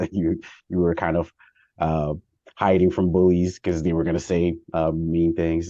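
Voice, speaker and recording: In a Haitian accent, a man speaks with a very deep, low pitch and a dark, mellow tone at a moderate pace. The sound is dry and close with no echo, over a quiet background. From US, early childhood in Haiti. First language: Haitian Creole. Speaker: former congressional staffer. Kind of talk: interview answer. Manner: hesitant, many fillers.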